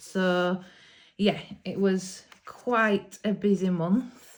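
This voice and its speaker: In a Yorkshire accent, a woman speaks at a very slow pace with ordinary pitch variation. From Yorkshire, England. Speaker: hobby YouTuber, adult colourist. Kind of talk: casual vlog talk to camera. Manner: hesitant, many ums.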